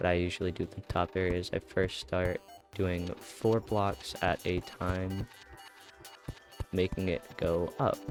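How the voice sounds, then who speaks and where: With music in the background, a man speaks at a very slow pace in a relaxed tone and a very deep, low pitch. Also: ordinary pitch variation. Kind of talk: casual game tutorial voiceover. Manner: casual, relaxed.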